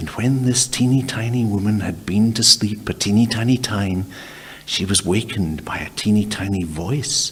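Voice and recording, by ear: Reading aloud in a natural voice with ordinary pitch variation.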